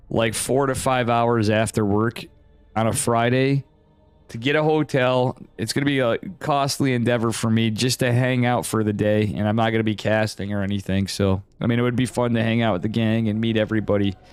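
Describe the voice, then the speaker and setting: Over music in the background, a man with an upstate New York accent talks at a fairly quick pace and a medium pitch. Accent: US Northeast (upstate New York). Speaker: esports caster / streamer. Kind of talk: live game commentary and chat with viewers. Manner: casual, animated.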